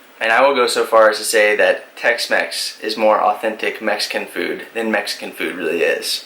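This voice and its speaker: A man with an American accent at a moderate pace, hardly any pauses, and noticeable background noise. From Texas. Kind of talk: casual talk to camera.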